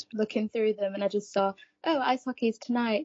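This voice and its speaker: A woman's fairly high, fairly evenly intoned voice: a normal speaking voice. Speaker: student ice hockey player. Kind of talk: interview answers.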